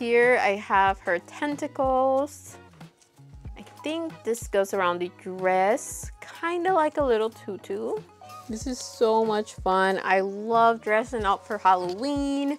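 Faint music plays behind a woman speaking at a very slow pace. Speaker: doll vlogger. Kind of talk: casual vlog chat. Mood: cheerful, excited. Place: home room.

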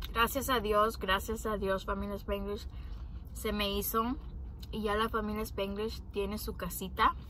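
A woman speaks at a fairly slow pace in a dry sound with no echo, over light background noise. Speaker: vlogger. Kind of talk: casual vlog chat. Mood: grateful, reflective storytelling. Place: car. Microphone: phone near.

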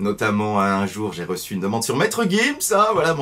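A man talks at a moderate pace. His voice rises and falls in very wide pitch swings. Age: 30s. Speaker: guitar teacher YouTuber; guitar teacher guest. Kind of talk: interview. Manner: hesitant, many fillers. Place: home room. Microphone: webcam.

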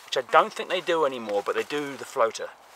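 Over light background noise, a man speaks at a very fast pace in a dry recording with no echo. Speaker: fly fishing vlogger. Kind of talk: casual vlog chat. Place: open country. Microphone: phone near.

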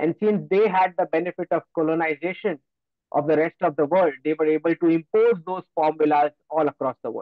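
This voice moves at a fairly quick pace with ordinary pitch variation, set against a quiet background in a dry sound with no echo. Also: man, high pitch for a man. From Gujarat, India. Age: young. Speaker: geopolitical analyst. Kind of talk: lecture. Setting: video call. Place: home room. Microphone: video call.

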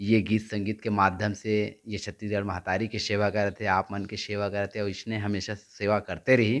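A man at a moderate pace, monotone and flat in intonation, over a quiet background. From Chhattisgarh, India. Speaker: YouTube interviewer. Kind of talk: interview. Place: home room. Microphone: handheld.

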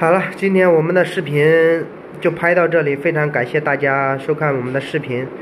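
Noticeable background noise lies under a man's fairly high voice. He keeps a moderate pace and fairly even intonation. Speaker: vlogger living in Pakistan. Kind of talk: casual vlog monologue. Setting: at home, filming a video.

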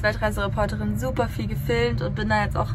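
A woman at a very fast pace over loud background noise. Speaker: vlogger. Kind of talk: casual vlog chat. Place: boat. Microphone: phone near.

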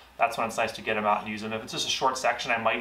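A man's fairly low voice, bright and sharp in tone, with audible room echo

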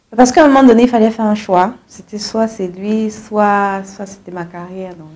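This woman's voice sits fairly high, with ordinary pitch variation. Her loudness swings widely. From Cameroon. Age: 30s. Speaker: singer; guest. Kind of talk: interview. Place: studio. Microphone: lapel.

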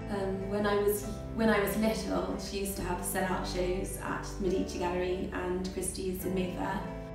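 Strong room echo and clear music in the background accompany a woman with a British accent speaking at a moderate pace. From England. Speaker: watercolour artist. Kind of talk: interview answer. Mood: warm, animated. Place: home room. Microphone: camera far.

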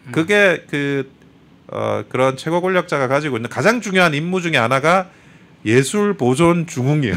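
A man's voice at a moderate pace, with lively intonation. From South Korea, Busan; South Korea. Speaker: lawyer, political commentator. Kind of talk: talk show interview. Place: studio. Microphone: studio mic.

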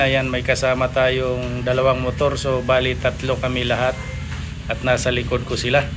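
Audible room echo and music in the background surround a man speaking at a medium pitch and moderate pace. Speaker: vlogger. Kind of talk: vlog narration. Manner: halting, many fillers.

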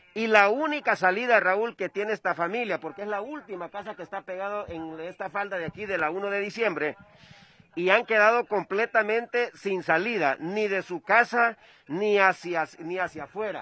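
A man projects a raised, high-pitched voice at a moderate pace with ordinary pitch variation. His loudness swings widely, and the sound is dry with no echo. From Honduras. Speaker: field reporter. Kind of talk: live field report. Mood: urgent, concerned. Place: open country.

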